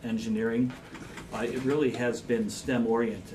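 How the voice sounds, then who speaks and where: Noticeable background noise and audible room echo fill the recording. A man speaks at medium pitch with fairly even intonation. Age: 60s. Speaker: school administrator. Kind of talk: public meeting discussion.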